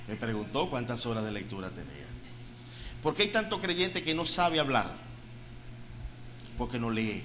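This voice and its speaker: This man's medium-pitched voice moves at a moderate pace with very wide pitch swings. Long, frequent pauses break up his speech, and audible room echo fills the space. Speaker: pastor. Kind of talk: sermon.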